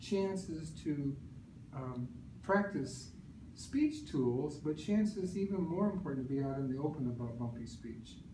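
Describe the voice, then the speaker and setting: The speaker talks at a fairly slow pace with lively intonation, with audible room echo and noticeable background noise. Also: man, fairly high pitch for a man. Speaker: speech language pathologist. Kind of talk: presentation to audience. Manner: stutters.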